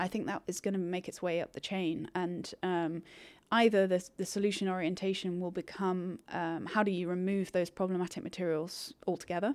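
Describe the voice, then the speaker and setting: A woman at medium pitch in a monotone, flat delivery at a moderate pace, on a very clean recording with a silent background. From northern England, Manchester. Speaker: recycling industry executive. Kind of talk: interview. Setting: conference venue.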